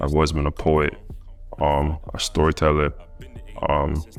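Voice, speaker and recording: A man talks in a very deep, low pitch at a moderate pace. Music plays in the background. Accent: American. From Canada, Toronto (Malton), Jamaican family. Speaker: rapper. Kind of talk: interview. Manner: casual, hesitant with many fillers.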